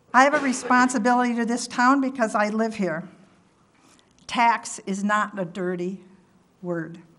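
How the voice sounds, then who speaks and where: Pausing long and often, a woman speaks at a moderate pace in a fairly high pitch with ordinary variation, and audible room echo surrounds her. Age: 70s. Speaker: resident giving public comment. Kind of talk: prepared public comment at council meeting. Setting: town council meeting. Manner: formal.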